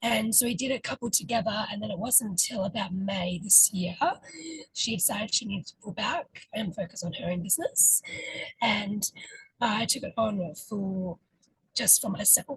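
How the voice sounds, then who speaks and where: A woman's somewhat breathy voice in a dry, close sound with no echo. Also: medium pitch for a woman, ordinary pitch variation, moderate pace. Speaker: ritual facilitator. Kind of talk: interview. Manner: hesitant, many fillers.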